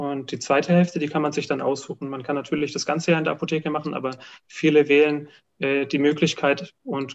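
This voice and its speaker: Against a quiet background, a man with a fairly high voice speaks at a fairly quick pace in a flat monotone. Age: 20s. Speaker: pharmacist. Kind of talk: interview.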